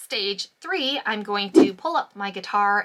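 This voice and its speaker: Over noticeable background noise, a woman talks in an upbeat tone at a medium pitch. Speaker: voiceover artist; audiobook narrator. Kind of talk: casual talk to camera.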